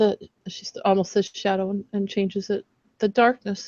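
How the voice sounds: A natural reading voice is heard, and behind it the background is quiet.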